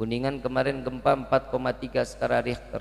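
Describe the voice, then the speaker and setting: This is a man speaking. He has a Jakarta accent. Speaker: Islamic preacher. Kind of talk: sermon. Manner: interactive, asks audience questions.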